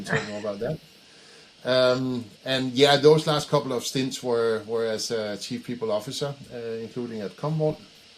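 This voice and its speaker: A man with a strong Danish accent, big swings in loudness, and noticeable background noise. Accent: thick Danish. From Denmark. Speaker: head of people, HR executive. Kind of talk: casual interview. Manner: halting, many fillers.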